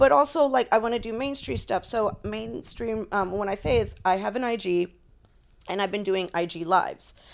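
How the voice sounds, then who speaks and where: An ordinary speaking voice, a woman at medium pitch with lively intonation and a moderate pace, on a very clean recording with a silent background. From Florida (Tampa area), of Cuban and Puerto Rican parents. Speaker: adult industry veteran, former stripper. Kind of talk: casual chat.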